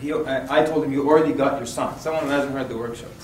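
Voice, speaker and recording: A man talking very fast, with audible room echo and noticeable background noise. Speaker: Islamic workshop instructor. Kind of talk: workshop lecture. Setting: room with live audience. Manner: animated.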